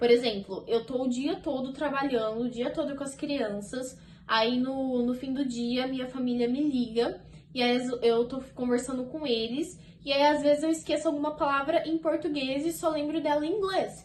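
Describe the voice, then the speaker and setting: Her pitch is high and its variation ordinary as this woman speaks. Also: moderate pace. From Brazil. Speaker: au pair vlogger. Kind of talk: casual vlog talk to camera. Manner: chatty, conversational.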